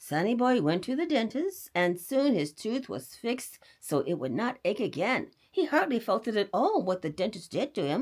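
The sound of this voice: Reading done in an unforced voice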